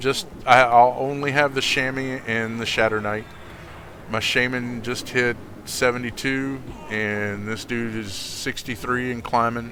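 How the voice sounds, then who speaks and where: A man with an American accent speaks fairly slowly at medium pitch in monotone, flat intonation, with noticeable background noise and audible room echo. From US South. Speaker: video game streamer. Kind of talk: casual gaming chat.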